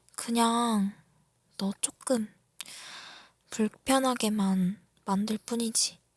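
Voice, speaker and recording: In a playful tone, a somewhat breathy woman with a fairly high pitch speaks very slowly with fairly even intonation and long, frequent pauses, captured with a dry, close sound and no echo. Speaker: ASMR creator. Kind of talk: ASMR roleplay, girlfriend teasing her younger boyfriend in a whisper. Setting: roleplay for a listener, close-mic. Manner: whispery, close-mic, breathy, teasing and playful, with soft laughs; slow, intimate pacing, flustered and pleading toward the end.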